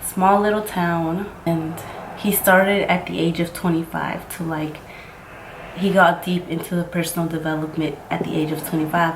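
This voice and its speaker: In a room with audible echo and noticeable background noise, a woman speaks at a moderate pace in a flat monotone with a fairly low pitch. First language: Mixtec. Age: 20s. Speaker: makeup vlogger. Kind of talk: casual chat.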